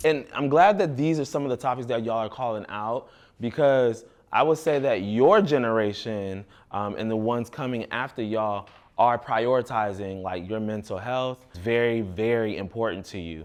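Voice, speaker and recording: In an unremarkable speaking voice, a man speaks at a moderate pace and medium pitch, with ordinary pitch variation, against a quiet background. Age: adult. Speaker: youth mentor in fashion program. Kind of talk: group discussion with youth.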